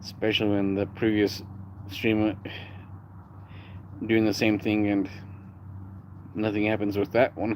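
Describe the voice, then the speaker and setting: A man with an American accent talks at a fairly slow pace, pitched fairly low. His intonation is monotone and flat, with long, frequent pauses. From United States. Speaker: live streamer. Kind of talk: casual live stream chat. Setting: live stream. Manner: rolled R's.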